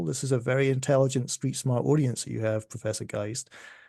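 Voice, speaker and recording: A man with a Scottish accent speaks at a medium pitch, his voice somewhat breathy against a quiet background. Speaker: music economist. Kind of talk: podcast interview. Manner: animated.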